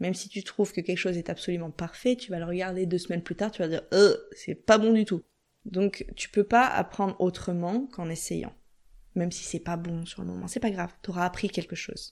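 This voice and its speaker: A woman talks at a fairly quick pace in an ordinary speaking voice of medium pitch. Her intonation is fairly even, but her loudness swings widely. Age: 30s. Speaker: entrepreneur in career change. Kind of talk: interview.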